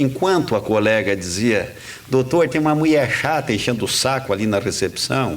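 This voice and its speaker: A man talks at a moderate pace with ordinary pitch variation. Noticeable background noise sits behind his voice. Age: 70s. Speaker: radio host. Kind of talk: talk radio commentary. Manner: halting.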